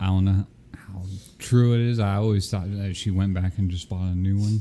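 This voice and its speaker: A soft-spoken man with fairly low pitch and a dark, mellow tone speaks at a moderate pace in a monotone, flat intonation. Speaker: podcast co-host. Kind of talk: casual chat.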